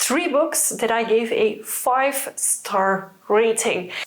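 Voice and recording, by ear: A woman speaks slowly at a fairly high pitch.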